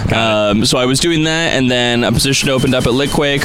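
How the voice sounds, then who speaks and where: A man's medium-pitched voice shows ordinary pitch variation while music plays in the background. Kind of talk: live radio interview, casual chat. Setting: outdoors street broadcast, live radio. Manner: thoughtful, slightly hesitant with filler words, friendly.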